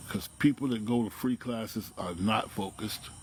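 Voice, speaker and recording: A man speaks at a moderate pace in an ordinary speaking voice. His pitch sits fairly low, with ordinary pitch variation. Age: 60s. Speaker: dog trainer. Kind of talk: casual vlog talk. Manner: conversational, frequent tag questions.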